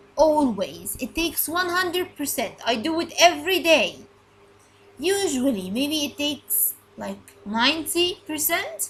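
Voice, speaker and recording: A loud, high-pitched woman's voice at a fairly slow pace. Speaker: English teacher. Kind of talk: recorded lesson. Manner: repetitive, halting.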